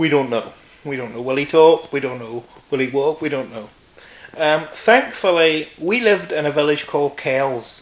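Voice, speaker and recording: A man with a Northern Irish accent at a moderate pace, ordinary pitch variation, noticeable background noise behind him. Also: fairly high pitch for a man. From Northern Ireland, County Antrim. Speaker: interview guest. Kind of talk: casual interview. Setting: filmed interview.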